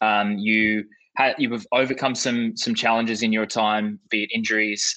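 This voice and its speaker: The sound is dry and close with no echo as a man with an Australian accent speaks slowly in a fairly low, monotone voice with flat intonation and a bright, sharp tone. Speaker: podcast host. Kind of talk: interview conversation.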